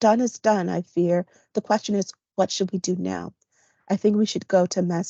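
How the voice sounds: Fairly even intonation marks a natural reading voice against a quiet background.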